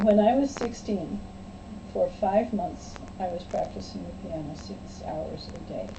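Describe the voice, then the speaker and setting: A woman with an American accent speaks at a fairly slow pace, her loudness swinging widely, amid noticeable background noise and audible room echo. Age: 70s. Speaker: church friend. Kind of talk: casual chat; storytelling.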